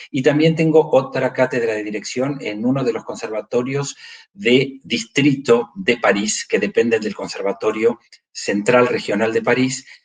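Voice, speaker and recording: Speaking at a moderate pace, a man has an unremarkable speaking voice. His pitch is medium, with ordinary pitch variation. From Argentina, Buenos Aires. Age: 60s. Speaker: choir conductor and conducting professor. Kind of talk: interview.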